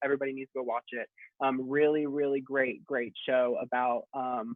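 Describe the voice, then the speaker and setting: Using monotone, flat intonation, a man with an American accent speaks at a medium pitch and a moderate pace. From Texas. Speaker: drag performer. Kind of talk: casual chat.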